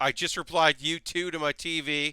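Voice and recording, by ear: Fairly high in pitch, a man speaks with fairly even intonation in a tone that is clear and smooth yet also bright and sharp. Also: moderate pace.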